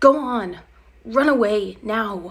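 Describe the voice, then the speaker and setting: A woman's put-on character voice, fairly high in pitch, with hissing. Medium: read story. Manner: hissing, growling.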